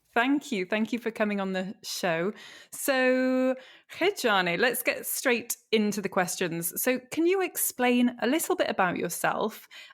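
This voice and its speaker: In an English accent, a woman talks at a high pitch and a fairly slow pace. Her intonation is lively, and the recording is very clean with a silent background. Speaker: podcast host teaching legal English. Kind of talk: podcast interview.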